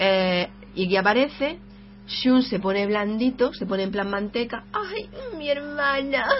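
Over noticeable background noise, a woman with a fairly high pitch speaks at a fairly slow pace with lively intonation. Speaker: video game podcast host. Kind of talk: casual chat.

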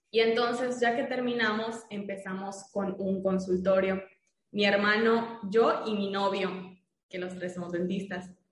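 A woman's fairly slow speech at a medium pitch, with fairly even intonation and audible room echo. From Mérida, Yucatán, Mexico. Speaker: dentist. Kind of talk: casual interview.

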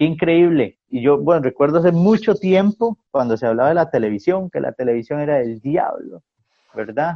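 A man's fairly high voice with very wide swings in pitch. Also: moderate pace. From Costa Rica, San Carlos. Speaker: pastor. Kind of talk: casual chat. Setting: video call.

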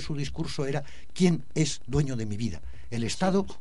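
The speech moves at a moderate pace with lively intonation. Room echo is audible. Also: man. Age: old. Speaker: activist. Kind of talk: radio interview.

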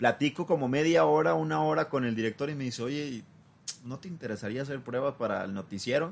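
A man with a medium pitch talks at a moderate pace. His pitch swings very widely. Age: 20s. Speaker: journalist and political consultant. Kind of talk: interview.

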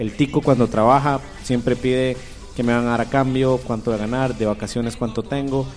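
Over music in the background, a man talks at a fairly quick pace with medium pitch and monotone, flat intonation. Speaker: radio host. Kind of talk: casual chat.

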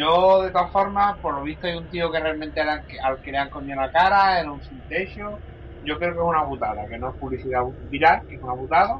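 A man's fairly quick speech jumps between loud and soft in big swings. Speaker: podcast co-host. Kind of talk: casual chat.

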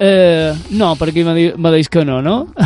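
A man's high voice with a Mallorcan accent at a very slow pace, over noticeable background noise. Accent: Mallorcan Catalan. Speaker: radio workshop host. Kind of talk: youth radio interview. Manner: halting; animated.

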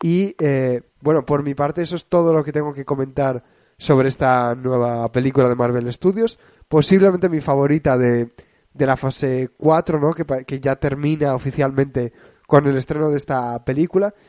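A man's fairly high voice with a dark, mellow tone and ordinary pitch variation, dry and close with no echo. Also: moderate pace. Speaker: film radio show host. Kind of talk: casual film chat.

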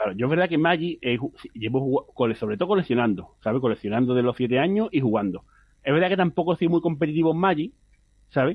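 Speaking at a very fast pace, a man with a fairly high pitch makes very wide pitch swings while keeping his loudness very even. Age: 30s. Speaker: competitive card game player. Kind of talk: interview.

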